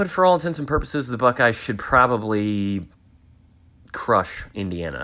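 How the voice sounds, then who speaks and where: A man at a moderate pace and medium pitch, bright and sharp in tone, with very wide pitch swings. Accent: Midwestern American. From Northeast Ohio. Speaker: podcast host. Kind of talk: casual monologue. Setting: home man cave. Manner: casual, filler-heavy.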